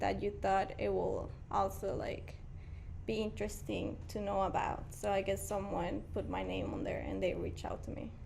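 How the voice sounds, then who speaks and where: A woman speaks in a Mexican accent. Audible room echo surrounds her voice. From Mexico, Guanajuato. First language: Spanish. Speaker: painter. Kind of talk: casual interview.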